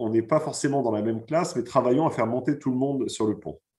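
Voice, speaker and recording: A man's medium-pitched voice against a quiet background. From France. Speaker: finance executive and author; guest. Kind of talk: pre-recorded conference talk. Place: home room. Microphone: video call.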